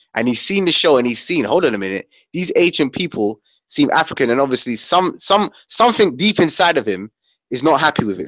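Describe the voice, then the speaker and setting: With vocal fry, a man speaks at a fairly quick pace, his pitch swinging very widely. The sound is dry with no echo, and the background is quiet. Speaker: panelist. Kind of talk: heated debate. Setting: video call. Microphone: video call.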